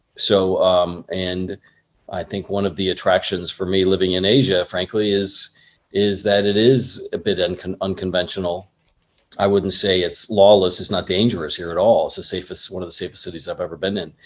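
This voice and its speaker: In an American accent, a man with a very deep, low pitch speaks at a moderate pace with monotone, flat intonation. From Southern California (Orange County). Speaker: film producer. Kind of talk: interview.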